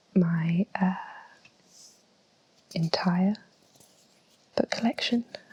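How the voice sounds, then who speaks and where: A woman speaks very slowly at a medium pitch, her voice somewhat breathy, recorded dry and close with no echo. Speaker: ASMR creator. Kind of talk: ASMR book collection talk. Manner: whispered, slow, soft-spoken.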